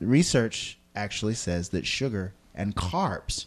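Over a quiet background, a man talks at a fairly slow pace with a fairly low pitch. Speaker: podcast host and high school worker. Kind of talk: casual interview.

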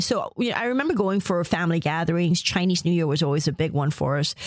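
Lively intonation marks a woman's fairly low voice, recorded with a dry, close sound with no echo amid noticeable background noise. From Malaysia. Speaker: journalist and author. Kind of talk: interview.

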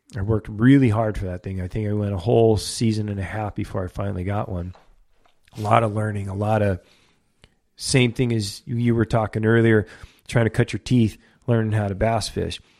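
A man with an American accent speaks at a fairly low pitch and fairly quick pace in a plain, everyday voice. His intonation is fairly even, and the recording is very clean with a silent background. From California, Ventura County. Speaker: fishing guide. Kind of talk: casual interview chat.

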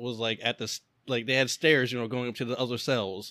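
This man speaks at a very fast pace in a bright, sharp tone. The sound is dry and close, with no echo. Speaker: podcast co-host. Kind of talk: casual chat. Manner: hesitant, many filler words.

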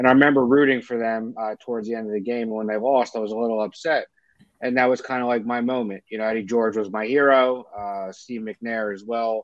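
This man speaks with a Philadelphia accent at a fairly quick pace. His medium pitch carries fairly even intonation. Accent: Philadelphia-area American. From South Jersey, near Philadelphia. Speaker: sports podcast co-host. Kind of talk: casual chat.

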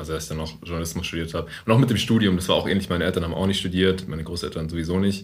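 A man's very deep, low voice at a very fast pace with fairly even intonation and audible room echo. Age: 30s. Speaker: podcast host. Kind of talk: casual chat. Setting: meeting room in coworking space. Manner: deeper podcast voice.

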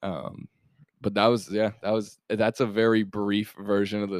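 A man with an American accent talks at a moderate pace in a fairly low pitch, a normal speaking voice. The sound is dry and close, with no echo. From Colorado. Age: 20s. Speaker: musician and producer. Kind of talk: casual chat. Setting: in person at a guest's place.

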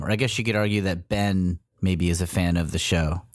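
On a very clean recording with a silent background, a man speaks at a moderate pace in a normal speaking voice, with ordinary pitch variation. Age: middle-aged. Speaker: comedy performer and podcast co-host. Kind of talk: casual chat.

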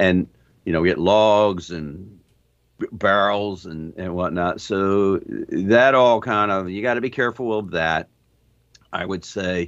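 Over a quiet background, a man with a normal speaking voice talks at a fairly slow pace and fairly low pitch, with ordinary pitch variation. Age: 60s. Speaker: sailor. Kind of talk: interview. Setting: video call.

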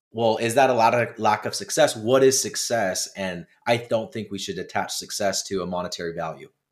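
A man's normal speaking voice at a medium pitch, fairly quick with hardly any pauses and ordinary pitch variation. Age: 20s. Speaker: business owner. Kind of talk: interview.

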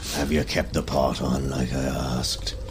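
Over loud background noise, a man uses a husky, put-on character voice at a moderate pace. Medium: actual play. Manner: terse, one-note, gruff.

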